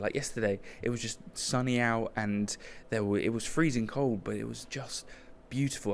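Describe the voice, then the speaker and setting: A man with a fairly low voice speaks with a British accent. He keeps a moderate pace and fairly even intonation. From Britain. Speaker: podcast host. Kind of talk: casual travel vlog monologue. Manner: casual, hesitant with fillers.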